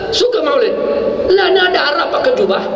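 A man talks at a moderate pace. Audible room echo and light background noise are present. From Malaysia, Johor. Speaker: religious teacher. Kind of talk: sermon. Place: hall. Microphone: podium.

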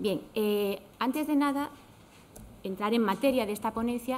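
A woman at a moderate pace, her pitch fairly high. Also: ordinary pitch variation.

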